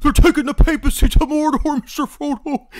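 A put-on character voice pitched high, delivered at a moderate pace. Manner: earnest, pleading.

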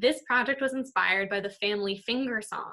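A woman speaks in a bright, sharp tone. The background is quiet. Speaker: art teacher. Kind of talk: tutorial. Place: kitchen. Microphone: webcam.

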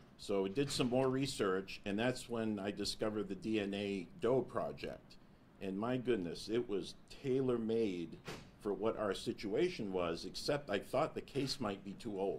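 A man with an unremarkable speaking voice talks at a fairly slow pace in a fairly low pitch. His pitch varies in an ordinary way, and there is light background noise. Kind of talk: press conference statement. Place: meeting room. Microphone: podium.

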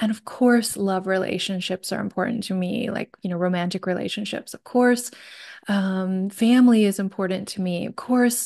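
Against a quiet background, a woman talks at a moderate pace, her intonation fairly even. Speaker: podcast guest. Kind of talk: personal storytelling in a conversation. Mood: warm, reflective. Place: home room. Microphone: studio mic.

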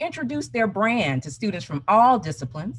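A woman talks at a fairly quick pace. Her pitch swings very widely. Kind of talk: conference presentation. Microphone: video call.

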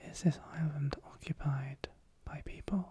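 A soft-spoken man talks in a somewhat breathy voice. The sound is dry with no echo, with light background noise. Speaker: role-play guide. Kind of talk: soft-spoken ASMR role-play. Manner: soft, hushed ASMR speech.

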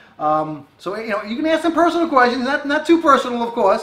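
A man with an American accent talks at a fairly quick pace, his pitch swinging very widely. Audible room echo surrounds his voice. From Long Island, New York. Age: 40s. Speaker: fishing video co-host. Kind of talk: casual chat. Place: home room.

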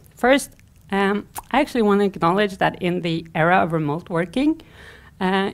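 Her pace moderate, a woman is speaking. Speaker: conference speaker. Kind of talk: conference talk. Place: stage.

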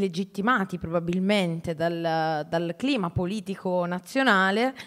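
A woman with a medium-pitched voice talks while the background stays quiet. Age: 30s. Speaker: teacher and writer, moderator; teacher, moderator. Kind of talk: moderated public conversation. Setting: stage with audience. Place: hall. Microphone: handheld.

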